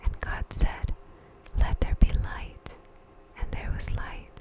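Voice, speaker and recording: Someone whispers in a soothing tone over noticeable background noise. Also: woman. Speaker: ASMR Bible reader. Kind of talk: ASMR Bible reading, sleep aid. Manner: whispered, soothing.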